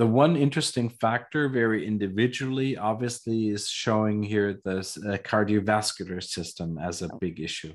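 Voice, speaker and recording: A man speaks in a normal speaking voice at a fairly slow pace, with fairly low pitch and ordinary pitch variation. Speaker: trainer on epigenetic testing device; trainer presenting a report. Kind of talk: lecture via interpreter. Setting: video call. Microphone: video call.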